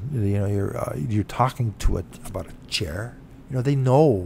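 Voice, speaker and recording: A man's somewhat breathy, medium-pitched voice with a Canadian accent, a dark, mellow tone, ordinary pitch variation and a moderate pace. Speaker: self-represented litigant vlogger. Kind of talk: casual monologue vlog. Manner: halting, many fillers.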